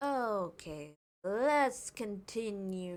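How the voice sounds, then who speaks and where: Ordinary pitch variation in a woman's medium-pitched voice. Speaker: video game streamer. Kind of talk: live gameplay stream chat. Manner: casual, rambling with repetitions.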